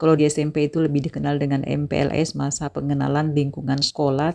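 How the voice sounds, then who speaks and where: A woman with a Makassar accent speaks very fast in a very deep, low voice, her tone dark and mellow and her intonation monotone and flat, on a very clean recording with a silent background. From Bone, South Sulawesi, Indonesia. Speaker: vlogger, housewife and madrasah staff. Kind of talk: casual vlog narration.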